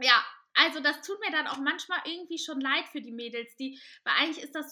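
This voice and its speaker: In a raised, projected voice, a woman speaks at a fairly quick pace with a bright, sharp tone and ordinary pitch variation. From Cologne, Germany. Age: 20s. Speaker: curvy model and podcaster. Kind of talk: podcast interview.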